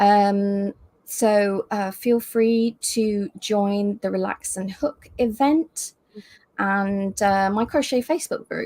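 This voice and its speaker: Speaking very slowly with a British accent, a woman at medium pitch is heard in a dry, close sound with no echo. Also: ordinary pitch variation. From UK. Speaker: crochet teacher and designer. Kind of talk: live video chat. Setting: livestream video call.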